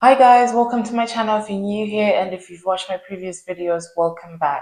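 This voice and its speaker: Big swings in loudness mark this woman's speech in a Zimbabwean accent, delivered at a fairly quick pace and medium pitch with ordinary pitch variation. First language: Shona. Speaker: YouTuber. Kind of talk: casual chat.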